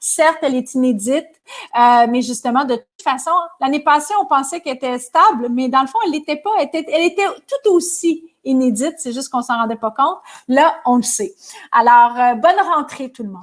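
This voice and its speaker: Speaking in a Quebec accent, a woman talks fairly quickly in a high voice with lively intonation. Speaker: business leader and speaker. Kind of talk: webinar closing remarks.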